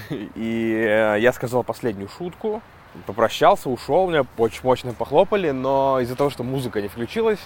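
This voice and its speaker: Lively intonation and a moderate pace from a man with a normal speaking voice at medium pitch. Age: 30s. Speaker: stand-up comedian and podcaster. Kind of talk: casual monologue podcast. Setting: outdoors walking dogs.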